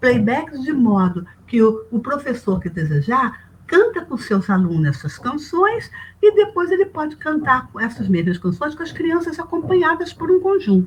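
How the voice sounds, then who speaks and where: Her pitch high and her pace moderate, a woman speaks with very wide pitch swings and big swings in loudness. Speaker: music professor. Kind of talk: webinar talk.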